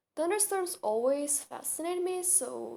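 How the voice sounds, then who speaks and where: A speaker with a non-native accent lets the pitch swing very widely. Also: woman. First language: not English. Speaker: storyteller. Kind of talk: storytime.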